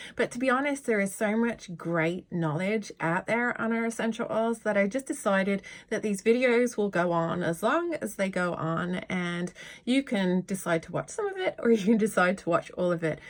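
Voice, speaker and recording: Lively intonation and a warm tone mark this woman's medium-pitched voice. She speaks with a British accent at a moderate pace. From Britain. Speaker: yoga teacher and essential oil educator. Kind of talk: informal tutorial video. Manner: warm, chatty.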